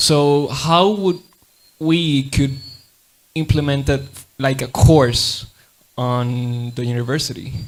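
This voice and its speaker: A man with a Puerto Rican accent speaks at a very slow pace and a fairly high pitch, with ordinary pitch variation and long, frequent pauses. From Puerto Rico. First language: Spanish. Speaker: audience member asking a question. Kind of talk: audience question. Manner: halting.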